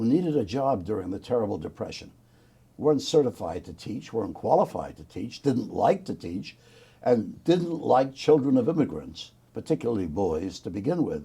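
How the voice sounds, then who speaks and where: A man with a New York accent speaks in a dark, mellow tone with vocal fry. His pitch swings very widely and his loudness shifts a lot. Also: medium pitch for a man, moderate pace. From New York City, the Bronx. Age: 80s+. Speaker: war veteran. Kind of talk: oral history interview.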